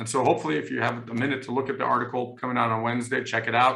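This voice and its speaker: A man's bright, sharp voice sits at a medium pitch with vocal fry. Audible room echo surrounds it. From Germany. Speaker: law professor. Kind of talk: panel discussion. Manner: hesitant, many fillers.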